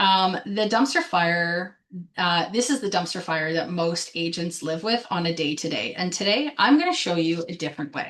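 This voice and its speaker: An ordinary speaking voice with a Canadian accent goes at a moderate pace with lively intonation. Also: woman, fairly low pitch for a woman. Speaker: business coach for realtors. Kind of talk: live webinar presentation. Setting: Facebook live stream. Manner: filler-heavy, um and uh.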